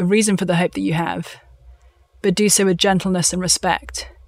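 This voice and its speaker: A woman speaks with a southern English accent. Her pitch is medium and her pace is moderate. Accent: southern English (British). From London, England. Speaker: author. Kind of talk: interview.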